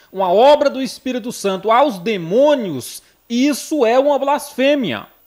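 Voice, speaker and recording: In a northeastern Brazilian accent, a man speaks at a fairly slow pace with an extremely high pitch. His intonation is lively and his tone animated. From Brazil, Northeast. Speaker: missionary preacher. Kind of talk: sermon.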